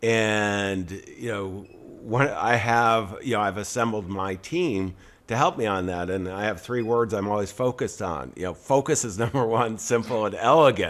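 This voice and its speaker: A man's fairly low voice at a moderate pace, with ordinary pitch variation. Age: 60s. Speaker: podcast host, entrepreneur. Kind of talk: interview conversation. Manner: halting, many fillers.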